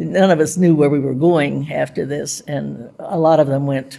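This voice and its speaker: In an American accent, a woman speaks with a very deep, low pitch and a dark, mellow tone. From US, Pittsburgh. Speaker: WWII navy codebreaker veteran. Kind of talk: oral history interview. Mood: warm, reflective. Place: hall.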